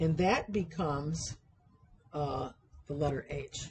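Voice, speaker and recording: Somewhat breathy, a woman speaks with a very deep, low pitch. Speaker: university sewing instructor. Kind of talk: tutorial. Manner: deliberately slowed pace.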